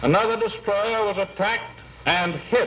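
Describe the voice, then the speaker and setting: Over noticeable background noise, a man with an American accent talks at a fairly slow pace in a high pitch with ordinary pitch variation. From United States. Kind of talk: wartime political speech.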